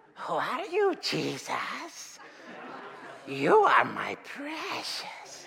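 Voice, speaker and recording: Using a put-on character voice, the speaker talks at a high pitch and a very slow pace, with long, frequent pauses. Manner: hissing, obsessive.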